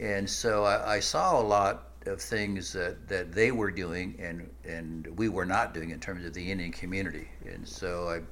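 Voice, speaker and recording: Vocal fry colors lively intonation at a moderate pace with hardly any pauses, and audible room echo surrounds the voice. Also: man, very deep, low pitch for a man. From US Midwest, Nebraska. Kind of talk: interview.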